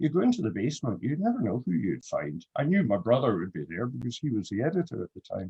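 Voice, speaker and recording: Delivered at a very fast pace in a Glasgow accent, the voice has very wide pitch swings and vocal fry. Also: man, medium pitch for a man. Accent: Scottish (Glasgow). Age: 60s. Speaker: photographer. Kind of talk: panel discussion.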